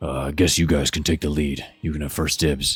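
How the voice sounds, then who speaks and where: In a put-on character voice, a man speaks with a very deep, low pitch and a raspy quality. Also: moderate pace. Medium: actual play. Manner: blunt, coarse.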